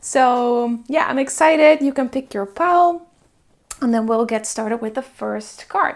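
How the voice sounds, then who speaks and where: A woman with a Dutch accent, high pitch, ordinary pitch variation and a fairly slow pace. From Netherlands. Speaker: tarot reader. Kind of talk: pick-a-card tarot reading. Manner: casual, filler-heavy.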